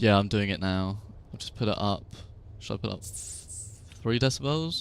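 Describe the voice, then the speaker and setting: Quiet, with big swings in loudness, a man speaks with a British accent, his fairly low voice carrying lively intonation. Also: moderate pace. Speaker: gaming streamer. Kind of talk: casual chat.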